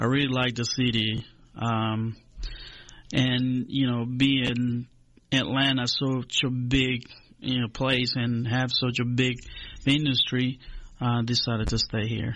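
A man's fairly slow speech in a Spanish accent, with monotone, flat intonation and long, frequent pauses. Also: medium pitch for a man. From Honduras. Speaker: agricultural extension agent. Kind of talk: radio interview.

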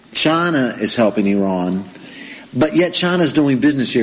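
With noticeable background noise behind him, a man speaks with an American accent and very wide pitch swings. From United States. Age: 40s. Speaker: radio host. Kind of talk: interview.

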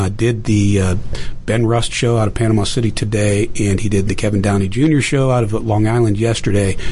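Over noticeable background noise, a man with an American accent speaks at a moderate pace, with a fairly low pitch and ordinary pitch variation. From Pittsburgh, Pennsylvania. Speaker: veteran and election technology entrepreneur. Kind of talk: radio interview.

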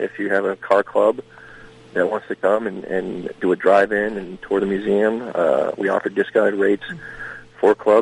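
A man speaks with an American accent, in a dry, close sound with no echo. Noticeable background noise runs underneath. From Maine, US. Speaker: museum director, retired Marine. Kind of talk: radio interview.

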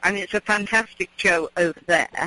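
Speaking in a southern English accent, a woman uses a medium pitch and a moderate pace. The sound is dry and close with no echo, though background noise is noticeable. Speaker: gardening expert. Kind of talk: casual chat. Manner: halting.

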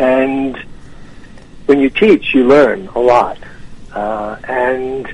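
A man with an American accent talks at a medium pitch, with noticeable background noise. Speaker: author and tennis champion. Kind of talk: radio interview. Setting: phone call.

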